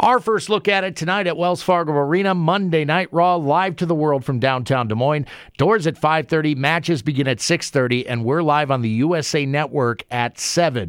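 In a very clean recording with a silent background, a man with an ordinary speaking voice talks at a fairly quick pace with hardly any pauses, his pitch fairly high and his pitch variation ordinary. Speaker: radio host. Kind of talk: radio interview. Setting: studio.

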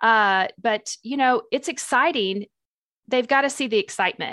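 The speaker has an American accent, a moderate pace and ordinary pitch variation. The sound is dry and close with no echo, over a quiet background. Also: woman. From US Midwest (Springfield, Missouri). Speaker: association executive. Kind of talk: interview.

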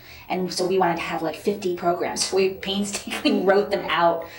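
A woman with an American accent speaks at a fairly low pitch. Music plays in the background, and audible room echo is present. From New York, Hudson Valley. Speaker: dance professor. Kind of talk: interview.

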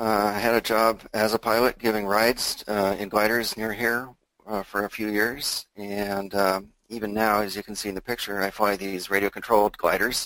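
A man with an American accent speaks at a moderate pace in a fairly low, bright, sharp voice. His intonation is monotone and flat, and the sound is dry and close with no echo. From US Pacific Northwest, Seattle. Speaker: retired software engineer turned options trader. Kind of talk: interview with slide presentation. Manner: hesitant, many fillers.

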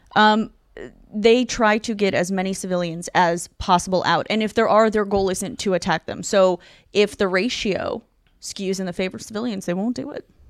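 With an American accent and a plain, everyday voice, a woman speaks at a medium pitch and a moderate pace with fairly even intonation on a very clean recording with a silent background. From Ukraine, later Tucson, Arizona. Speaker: comedian. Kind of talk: casual chat.

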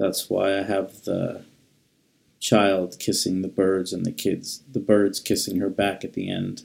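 Very deep and low, this man's voice carries an American accent. He speaks at a fairly slow pace with fairly even intonation. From Manhattan, New York. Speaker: poet. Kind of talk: poem performed, dreamy surreal verse read aloud, then reflective talk about it.

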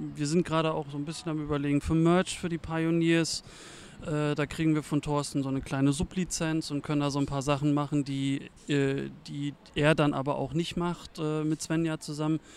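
Delivered at a moderate pace, a man's fairly high-pitched voice keeps a monotone, flat intonation. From eastern Germany (former GDR). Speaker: volunteer football game day manager. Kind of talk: casual interview.

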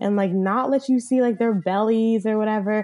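A woman's dark, mellow tone with an American accent, over a quiet background. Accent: valley girl accent, slight Southern. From US South. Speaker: podcast co-host. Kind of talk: casual chat.

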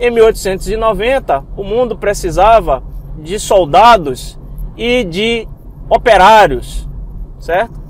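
Amid noticeable background noise, a man talks at a very slow pace in a high pitch, with lively intonation and long, frequent pauses. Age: 30s. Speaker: geoscience researcher and network-marketing entrepreneur. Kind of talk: motivational monologue podcast.

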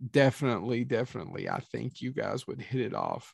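On a very clean recording with a silent background, a man talks at a fairly quick pace in a medium pitch with vocal fry. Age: 40s. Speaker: podcast host. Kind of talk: casual chat. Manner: animated.

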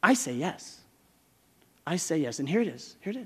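A man speaks at a moderate pace. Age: 40s. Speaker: pastor. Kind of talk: sermon.

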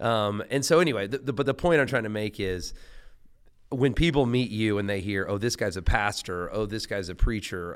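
A man with an American accent speaks at a fairly quick pace in a normal speaking voice, his pitch fairly low, on a very clean recording with a silent background. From US South. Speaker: podcast host and pastor. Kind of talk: casual interview.

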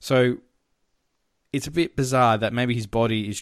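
A man speaks in an Australian accent at a medium pitch. His intonation stays fairly even. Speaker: podcast host. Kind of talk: casual movie review chat.

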